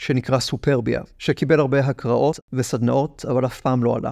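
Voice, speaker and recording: An ordinary speaking voice from a man, medium in pitch and moderate in pace, on a very clean recording with a silent background. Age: 20s. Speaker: podcast host and theatre producer. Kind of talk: personal monologue podcast. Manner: wry, reflective.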